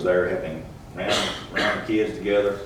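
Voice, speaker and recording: A man with a Texas accent speaks at a fairly quick pace in a very deep, low pitch. Noticeable background noise and audible room echo fill the recording. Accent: Texas Southern US. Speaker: church camp counselor. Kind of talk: testimony. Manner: monotone.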